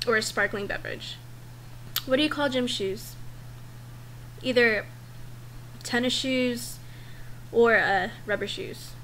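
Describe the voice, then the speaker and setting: Someone talks at a moderate pace in a strong Valley Girl accent. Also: woman. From Northern California. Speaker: vlogger. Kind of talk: casual vlog, survey answers.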